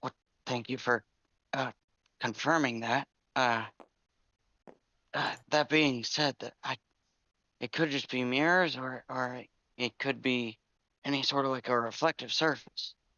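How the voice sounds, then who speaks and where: A raspy, put-on character voice at low-to-middle pitch speaks in a nervous tone at a moderate pace. Long, frequent pauses run through the delivery. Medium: actual play. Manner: stammering, nervous.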